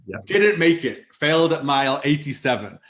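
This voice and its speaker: This man speaks with a Welsh accent. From Wales. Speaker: startup CEO and ultramarathon runner. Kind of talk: podcast interview answer. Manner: casual, conversational.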